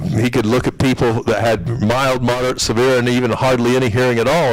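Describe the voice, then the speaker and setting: At a very fast pace, a man speaks at medium pitch over noticeable background noise. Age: 60s. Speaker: audiologist. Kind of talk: presentation.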